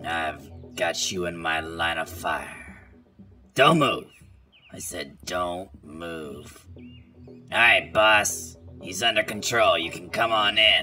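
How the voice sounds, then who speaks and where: Speaking at a very slow pace with long, frequent pauses, a man with a very deep, low pitch is heard over faint music in the background. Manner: menacing, commanding.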